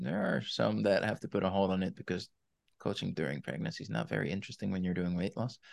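Against a quiet background, a man with a very deep, low voice and vocal fry talks very fast with lively intonation. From Netherlands. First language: Dutch. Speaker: weight loss coach. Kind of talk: interview.

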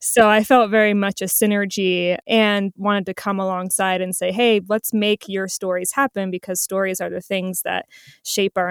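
A woman with an American accent has an ordinary speaking voice at a medium pitch, with fairly even intonation and a moderate pace, recorded dry and close with no echo on a very clean recording with a silent background. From New Jersey. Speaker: co-founder of a production company. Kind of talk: interview conversation.

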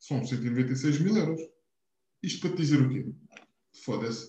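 A man's fairly high voice, somewhat breathy with a dark, mellow tone, at a moderate pace amid audible room echo. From Portugal, Algarve (Quarteira). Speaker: podcast co-host. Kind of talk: casual chat.

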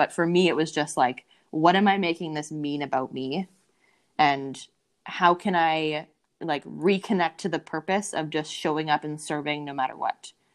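With a Canadian accent, a woman with a very deep, low pitch and ordinary pitch variation talks at a moderate pace against a quiet background. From Canada, Winnipeg, Manitoba. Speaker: dating and mindset coach. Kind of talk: casual interview chat.

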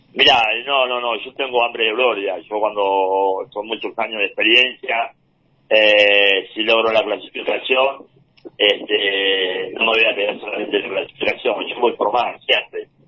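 Using an unremarkable speaking voice, a man speaks at a medium pitch and a fairly slow pace with fairly even intonation. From Argentina, Entre Ríos (Concepción del Uruguay). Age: 40s. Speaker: paralympic wheelchair racer. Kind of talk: interview.

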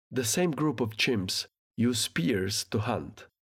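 On a very clean recording with a silent background, a man speaks with a non-native accent. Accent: foreign-accented English. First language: not English. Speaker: podcast host. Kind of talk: scripted solo talk about art history.

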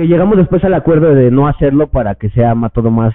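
A man talks at a fairly quick pace with lively intonation and a medium pitch. He has an ordinary speaking voice. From Mexico, Estado de México. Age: 30s. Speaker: cannabis podcaster and influencer. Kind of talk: casual chat.

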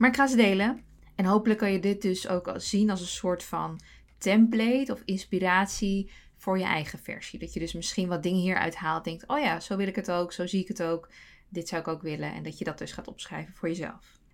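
A woman talks at a fairly quick clip in a medium pitch, using a plain, everyday voice with ordinary pitch variation. The recording is very clean, with a silent background. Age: 30s. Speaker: podcast host. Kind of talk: personal monologue.

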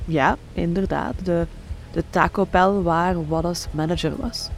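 Noticeable background noise fills the clip. Over it, a woman speaks at a very slow pace. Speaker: true crime podcast narrator. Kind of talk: true-crime narration, scripted and read aloud in an ominous tone. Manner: grave, measured, suspenseful storytelling.

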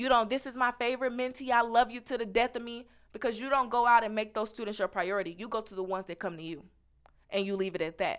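A fairly high-pitched woman's voice, animated and very fast, with ordinary pitch variation and big swings in loudness, on a very clean recording with a silent background. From Missouri, Kansas City. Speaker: university student. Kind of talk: interview.

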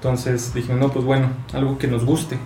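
Talking at a fairly quick pace, a man with a fairly high pitch is heard through noticeable background noise and audible room echo. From Chihuahua, northern Mexico. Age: 20s. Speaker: coffee roaster. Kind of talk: casual interview chat.

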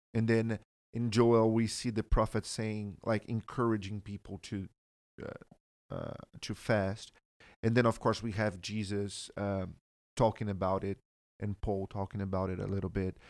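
In a Portuguese accent, a man speaks slowly and fairly low in a monotone, flat delivery, captured dry and close with no echo on a very clean recording with a silent background. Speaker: church member guest. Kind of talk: casual chat about faith.

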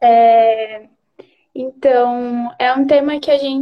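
This woman speaks at a high pitch. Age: 20s. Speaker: psychologist. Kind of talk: casual chat. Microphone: bad internet connection.

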